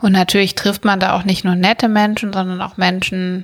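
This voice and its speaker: A woman's medium-pitched voice, flat and monotone in intonation. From Germany, Bergisches Land (Schwelm, near Wuppertal). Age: 30s. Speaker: podcast co-host, TV production background. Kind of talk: casual chat.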